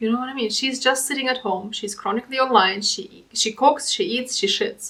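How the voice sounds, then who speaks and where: High-pitched and with lively intonation, a woman speaks. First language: German. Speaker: commentary youtuber. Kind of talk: reaction commentary.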